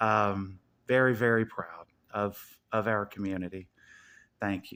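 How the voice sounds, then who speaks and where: A man with an American accent and ordinary pitch variation, on a very clean recording with a silent background. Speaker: YouTuber. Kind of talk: casual monologue.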